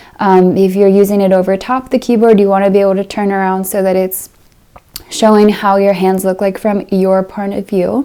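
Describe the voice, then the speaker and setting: Soft-spoken, a woman talks at a moderate pace and a medium pitch. Her tone is dark and mellow, and her intonation is monotone and flat. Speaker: piano teacher and video creator. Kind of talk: casual Q&A update.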